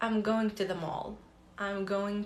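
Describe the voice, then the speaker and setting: Audible room echo follows a woman speaking at a medium pitch. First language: Arabic. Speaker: language teacher, polyglot content creator. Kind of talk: live Q&A tutorial. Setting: livestream. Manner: casual, many fillers.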